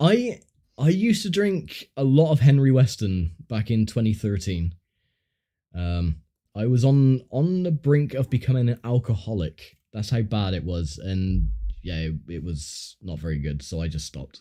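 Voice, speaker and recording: A man with a southern English accent speaks at a fairly low pitch in a dark, mellow tone. His pitch swings very widely, and the recording is very clean with a silent background. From southern England. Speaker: gaming streamer. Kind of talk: casual chat. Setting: livestream. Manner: hesitant, filler-heavy.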